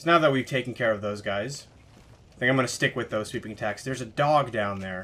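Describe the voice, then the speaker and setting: A man's medium-pitched voice, very fast, bright and sharp in tone, with ordinary pitch variation. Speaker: gaming let's play commentator. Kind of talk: gameplay commentary. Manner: quiet.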